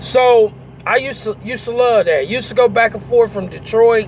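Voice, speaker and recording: This man speaks with a high pitch. Noticeable background noise sits behind him. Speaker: truck driver and vlogger. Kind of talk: casual storytelling vlog. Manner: hesitant, many fillers.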